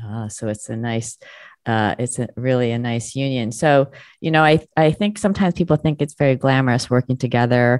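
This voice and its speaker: Dry and close with no echo, this very clean recording on a silent background has a woman speaking fairly quickly at a very deep, low pitch with ordinary pitch variation. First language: not English (learned at five). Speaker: radio show host, communication coach. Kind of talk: interview. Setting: radio broadcast. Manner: animated.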